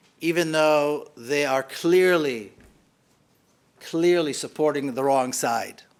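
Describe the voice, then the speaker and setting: Room echo is audible as a man speaks very slowly in a fairly high pitch. His pitch varies in an ordinary way, with long, frequent pauses. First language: Hebrew. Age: 50s. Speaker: author and activist. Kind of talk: public lecture. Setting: hall with live audience.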